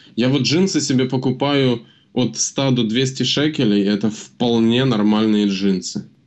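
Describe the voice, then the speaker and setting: An ordinary speaking voice is heard at a fairly slow pace. Its loudness stays very even, and its pitch varies in an ordinary way. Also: man, medium pitch for a man. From Ukraine. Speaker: podcast co-host. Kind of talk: casual chat.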